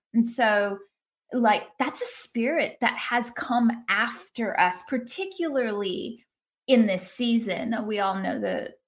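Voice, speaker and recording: With lively intonation, a woman speaks at a very slow pace in a fairly high voice. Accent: American. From US South. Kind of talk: faith-based conversation.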